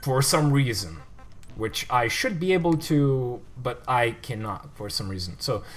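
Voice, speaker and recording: Over noticeable background noise, a man with a medium-pitched voice speaks at a fairly slow pace with very wide pitch swings. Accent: non-native. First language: not English. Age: 20s. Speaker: gaming livestreamer. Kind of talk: gameplay commentary livestream. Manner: casual, hesitant with fillers.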